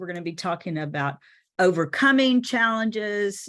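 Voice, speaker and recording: A woman's moderate-paced speech over a quiet background. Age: 60s. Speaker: time management coach. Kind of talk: webinar presentation. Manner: animated.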